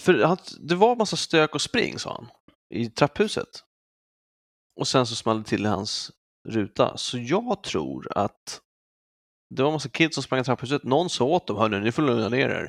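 A man with vocal fry and a medium pitch for a man speaks at a moderate pace, with very wide pitch swings and long, frequent pauses. The recording is very clean with a silent background, the sound dry and close with no echo. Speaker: podcast co-host. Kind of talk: casual chat.

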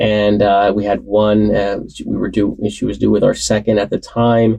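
A man speaks in a dark, mellow tone with a US Northeastern accent. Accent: US Northeast. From New Jersey, Warren County. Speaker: association CEO. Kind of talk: interview.

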